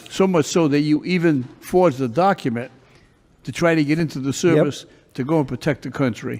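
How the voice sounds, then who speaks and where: A man talks at a moderate pace with a fairly high pitch. He has a plain, everyday voice. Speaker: judge. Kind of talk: courtroom questioning.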